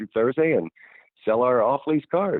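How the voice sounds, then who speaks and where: Fairly quick delivery from a man. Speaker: retired professional wrestler. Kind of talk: interview answer. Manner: casual, conversational.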